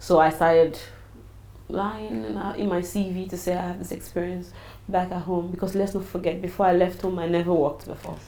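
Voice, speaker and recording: A woman speaks at a fairly quick pace and a fairly low pitch, with audible room echo and noticeable background noise. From Nigeria, Edo/Ondo area (Benin City). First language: Nigerian native language. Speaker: businesswoman and travel consultant. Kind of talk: interview. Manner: animated.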